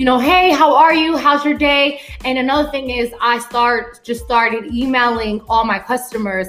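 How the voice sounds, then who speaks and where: A woman's high-pitched voice with hardly any pauses, against noticeable background noise. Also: ordinary pitch variation, moderate pace. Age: 30s. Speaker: juice business owner. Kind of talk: casual interview.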